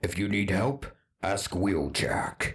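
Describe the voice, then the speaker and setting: Growling in a cartoonish character voice, a man keeps his pitch fairly low. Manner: casual, offhand commanding.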